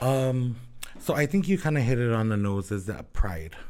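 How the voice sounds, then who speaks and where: A man with a Hawaiian accent talks at a fairly slow pace. The recording is very clean, with a silent background. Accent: Hawaii local English. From Hawaii, Oahu (Kalihi), Samoan heritage. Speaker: Samoan dancer and culture bearer. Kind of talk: casual interview chat.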